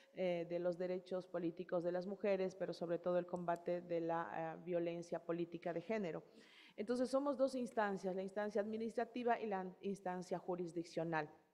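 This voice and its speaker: This woman speaks at a moderate pace with a fairly low pitch. Her tone is dark and mellow, and her pitch varies in an ordinary way. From Ecuadorian Amazon, Morona Santiago (Shuar nationality). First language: Shuar (speaking Spanish). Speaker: electoral authority head. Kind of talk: panel presentation. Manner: hesitant, many fillers.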